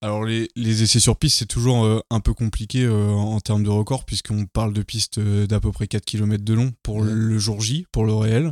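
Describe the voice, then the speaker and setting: A man's fairly low voice with fairly even intonation and hardly any pauses, on a very clean recording with a silent background. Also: moderate pace. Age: 20s. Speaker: engineering apprentice, project leader. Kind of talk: interview. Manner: halting.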